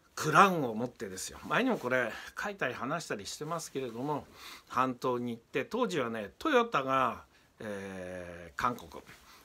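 Bright, sharp tone, very wide pitch swings, big swings in loudness, moderate pace. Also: man. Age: 50s. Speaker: politician. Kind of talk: political commentary. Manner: frequent filler pauses. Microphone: phone near.

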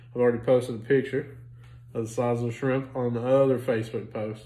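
A man talks with monotone, flat intonation. Audible room echo surrounds his voice. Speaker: food reviewer. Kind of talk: casual vlog chat. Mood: relaxed, amused. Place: home room. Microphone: phone near.

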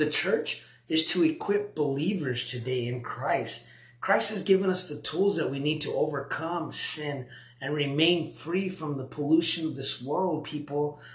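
With audible room echo, a man talks at a fairly high pitch with ordinary pitch variation. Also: fairly slow pace.

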